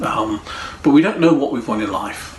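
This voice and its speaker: Lively intonation comes through amid audible room echo and noticeable background noise. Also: man. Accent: English. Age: 60s. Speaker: pastor. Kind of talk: sermon. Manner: halting.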